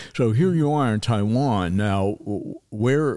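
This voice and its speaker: Captured in a very clean recording with a silent background, a man speaks with a dark, mellow tone, fairly low pitch and ordinary pitch variation. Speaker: podcast host. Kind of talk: interview. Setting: studio. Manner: lively.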